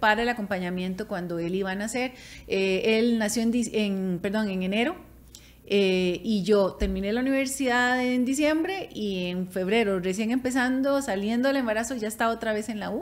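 Ordinary pitch movement accompanies delivery at a moderate speed. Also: woman. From Costa Rica. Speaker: podcast co-host. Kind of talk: casual chat. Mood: warm, reflective. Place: studio. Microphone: studio mic.

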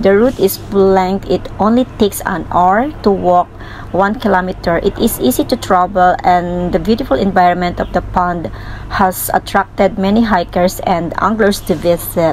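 A woman talks at a moderate pace with very even loudness and ordinary pitch variation, over light background noise. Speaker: travel vlogger. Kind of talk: casual vlog chat and descriptive commentary. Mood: calm, appreciative. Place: waterside. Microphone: phone near.

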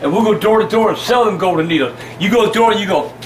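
At a very fast pace, a man speaks with ordinary pitch variation over light background noise. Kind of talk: loud mocking banter. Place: home room. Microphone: camera far.

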